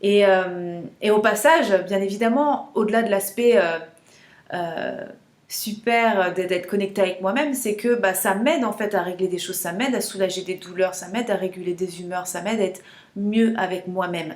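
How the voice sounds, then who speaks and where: A woman speaks at a moderate pace with a medium pitch. Her pitch rises and falls in an ordinary way. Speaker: menstrual cycle coach. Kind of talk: casual vlog talk to camera. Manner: hesitant, many fillers and repetitions.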